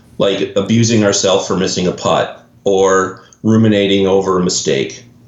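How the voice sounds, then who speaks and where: Someone speaks with a Canadian accent. Room echo can be heard. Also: man. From Canada. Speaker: golf mental performance coach. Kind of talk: podcast interview.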